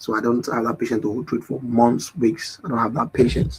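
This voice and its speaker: A man's somewhat breathy voice at medium pitch, at a moderate pace. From Nigeria. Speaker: forex trading educator. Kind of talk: live stream market analysis and chat. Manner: casual, repetitive.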